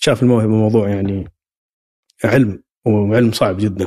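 A man talks at a moderate pace and fairly low pitch with ordinary pitch variation in a dry, close sound with no echo. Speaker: sports institute director and football coach. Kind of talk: interview. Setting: institute office. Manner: halting, repeated words.

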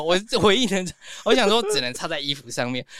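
In a raised, projected voice, a man speaks with an animated tone and very wide pitch swings. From Taiwan, Yunlin. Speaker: makeup artist and stylist. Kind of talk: casual chat. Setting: studio.

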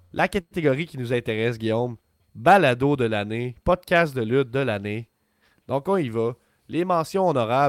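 A man with a Quebec accent speaks at a medium pitch and a fairly slow pace, his intonation lively, the sound dry and close with no echo on a very clean recording over a silent background. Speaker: wrestling podcast co-host. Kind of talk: casual chat. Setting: live stream. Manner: animated.

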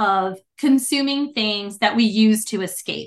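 A woman with an American accent speaks in a bright, sharp tone at a fairly high pitch. Her pace is fairly slow, with ordinary pitch variation. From US Northeast, New Jersey. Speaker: mental performance coach, Navy veteran. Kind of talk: interview.

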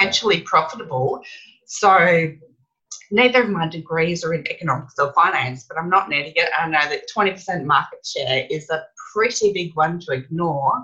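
A woman with an Australian accent speaks at a moderate pace in a fairly low pitch, her tone bright and sharp and her pitch variation ordinary. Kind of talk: interview.

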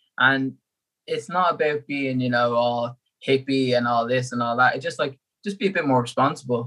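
A man with an Irish accent talks at a fairly quick pace and medium pitch. His tone is bright and sharp, his intonation fairly even. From Ireland. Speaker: endurance athlete. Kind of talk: casual chat.

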